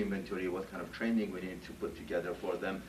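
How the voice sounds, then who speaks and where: Noticeable background noise and audible room echo surround a man speaking at a fairly low pitch. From Iran. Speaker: HR director. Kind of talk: job interview. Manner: halting, many fillers.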